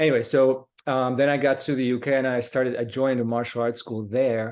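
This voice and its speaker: In a Slovak accent, a man speaks at a fairly quick pace with monotone, flat intonation. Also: medium pitch for a man. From Slovakia. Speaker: martial arts instructor. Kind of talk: casual interview. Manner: halting.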